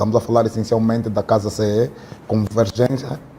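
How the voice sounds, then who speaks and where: With noticeable background noise, a man talks at a fairly quick pace in a medium pitch with monotone, flat intonation. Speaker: podcast host. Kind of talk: interview.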